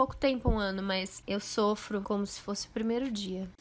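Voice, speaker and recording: A woman talks with ordinary pitch variation. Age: 20s. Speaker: performing artist, singer and dancer. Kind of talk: video diary vlog narration. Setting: at home. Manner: casual, chatty.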